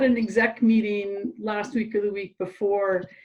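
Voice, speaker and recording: A woman speaks with a Canadian accent. Her voice is somewhat breathy. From western Canada, Calgary. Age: 60s. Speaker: cycling club member. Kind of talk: interview.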